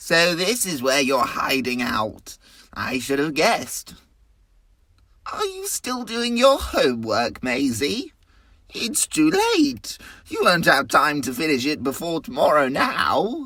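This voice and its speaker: A woman's put-on character voice, fairly low in pitch, at a fairly slow pace with very wide pitch swings. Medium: read story.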